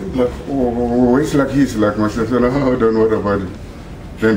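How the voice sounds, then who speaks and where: A man speaks fairly quickly and with fairly even intonation, with noticeable background noise and audible room echo around him. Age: 60s. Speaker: retired bodybuilder. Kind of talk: interview. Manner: halting, many fillers and restarts.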